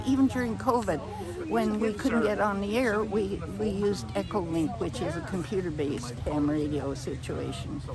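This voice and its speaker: A woman speaks at a fairly slow pace, with noticeable background noise and audible room echo. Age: 80s+. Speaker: amateur radio operator. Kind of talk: interview. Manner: halting.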